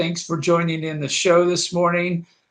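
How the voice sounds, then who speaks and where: A man talks in a Kansas accent. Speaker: talk show host on funding. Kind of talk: live-streamed interview show. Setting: LinkedIn live stream. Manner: hesitant, many fillers and repeats.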